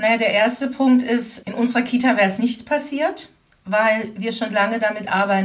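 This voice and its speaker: Over noticeable background noise, a woman with a fairly high voice talks at a moderate pace with ordinary pitch variation. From Baden-Württemberg (Baden-Baden). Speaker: educator and anti-racism trainer. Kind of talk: interview. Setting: remote recording.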